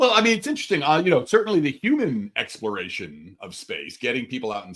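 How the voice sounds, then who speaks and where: A man speaks at a fairly quick pace with vocal fry. His tone is animated, with very wide pitch swings. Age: 60s. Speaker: astrophysicist. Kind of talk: casual chat.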